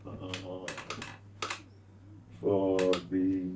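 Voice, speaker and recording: Noticeable background noise accompanies a man speaking in an American accent. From Southwest Atlanta. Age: 80s+. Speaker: former Negro Leagues baseball player. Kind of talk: interview answer.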